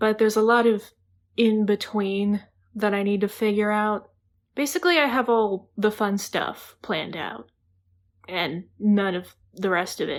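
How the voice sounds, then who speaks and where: A woman with an American accent, fairly high pitch, ordinary pitch variation and a fairly slow pace, on a very clean recording with a silent background. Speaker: writer vlogger. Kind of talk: casual vlog monologue. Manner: casual, chatty.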